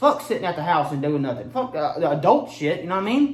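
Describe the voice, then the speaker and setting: An animated tone at a very fast pace over noticeable background noise. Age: 20s. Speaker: comedy video creator. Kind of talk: casual vlog commentary.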